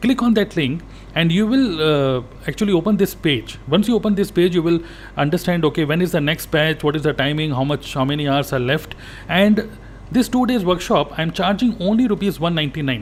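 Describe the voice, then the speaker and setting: Speaking with an Indian accent, a man with a high voice moves at a fairly quick pace with lively intonation. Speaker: network marketing coach. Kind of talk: sales pitch.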